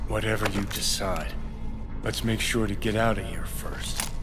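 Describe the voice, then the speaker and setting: A man talks at a moderate pace in a put-on character voice over loud background noise. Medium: machinima. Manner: sarcastic, cocky.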